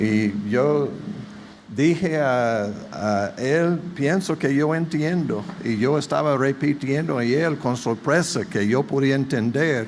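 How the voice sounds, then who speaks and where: A man with a strong non-native accent and a fairly high pitch speaks very slowly at a very even loudness, with audible room echo and noticeable background noise. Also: ordinary pitch variation. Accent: strong foreign accent in Spanish. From United States. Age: 70s. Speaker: visiting pastor. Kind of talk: sermon. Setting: church.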